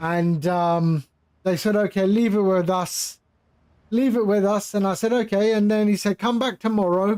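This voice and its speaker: A man with a high voice speaks in an English accent at a moderate pace. His intonation is fairly even, his loudness very even, and the recording very clean with a silent background. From England (London). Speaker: flight sim streamer. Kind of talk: live stream chat. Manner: casual, conversational.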